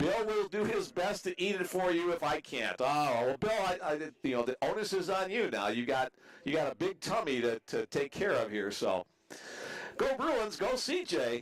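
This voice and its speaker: A man with a high pitch speaks at a moderate pace, his voice making very wide pitch swings. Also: very even loudness. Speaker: baseball play-by-play announcer. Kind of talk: live sports commentary.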